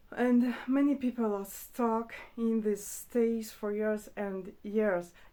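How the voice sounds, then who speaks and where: A woman's fairly high, dark, mellow voice with a non-native accent, at a very slow pace. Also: fairly even intonation. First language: not English. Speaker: spiritual teacher. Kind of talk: spontaneous talk to camera. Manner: hesitant, with fillers.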